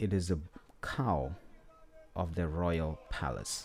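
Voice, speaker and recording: Very deep and low, a man's voice has a dark, mellow tone. He speaks at a very slow pace. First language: Setswana. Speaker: independent history presenter. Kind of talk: lecture presentation. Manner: halting, many fillers.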